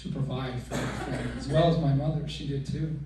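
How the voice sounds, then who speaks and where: A man talks at a fairly quick pace. The room echo is audible, and there is noticeable background noise. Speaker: son of the deceased. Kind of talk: eulogy. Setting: memorial service with PA system. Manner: loud.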